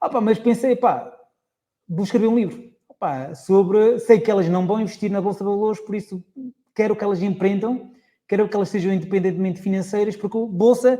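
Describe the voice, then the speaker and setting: A man with a dark, mellow tone talks at a fairly quick pace in a high pitch, with ordinary pitch variation. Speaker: investor and author. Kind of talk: podcast interview. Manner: animated.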